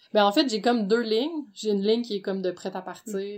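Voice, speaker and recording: In a Quebec accent with ordinary pitch variation, the voice comes through a very clean recording with a silent background. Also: woman. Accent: Québécois French. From Quebec, Gatineau. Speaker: entrepreneur, underwear designer. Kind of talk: casual interview.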